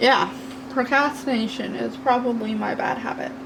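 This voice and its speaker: A woman talks fairly slowly, with noticeable background noise and audible room echo in the recording. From Canada, New Brunswick. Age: 30s. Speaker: craft youtuber. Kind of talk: casual chat. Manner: loud.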